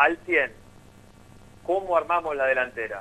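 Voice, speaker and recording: Pitched high with a bright, sharp tone, a man's voice carries lively intonation at a moderate pace. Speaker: football reporter. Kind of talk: sports radio discussion.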